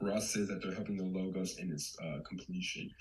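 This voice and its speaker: A man talks at a fairly quick pace. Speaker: community member presenter. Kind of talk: presentation. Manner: fast.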